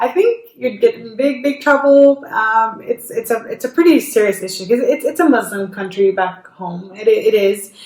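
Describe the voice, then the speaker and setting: Over noticeable background noise, a woman talks at a moderate pace with hardly any pauses, a high pitch, lively intonation, and big swings in loudness. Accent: slight non-native. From Jordan. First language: Arabic. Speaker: YouTuber. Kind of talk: casual chat. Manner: halting, many repetitions.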